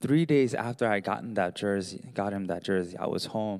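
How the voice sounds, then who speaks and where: In an American accent, a man with an ordinary speaking voice talks at a moderate pace with lively intonation on a very clean recording with a silent background. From US, Baltimore. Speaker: pastor. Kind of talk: sermon. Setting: church with congregation.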